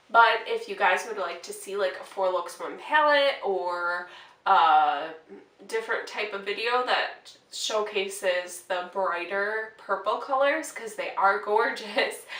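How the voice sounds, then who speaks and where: A woman speaks very slowly with an American accent, at a medium pitch with ordinary pitch variation. Her loudness swings widely, and the room echo is audible. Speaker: beauty vlogger. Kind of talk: casual get-ready-with-me makeup tutorial. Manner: casual, hesitant with fillers.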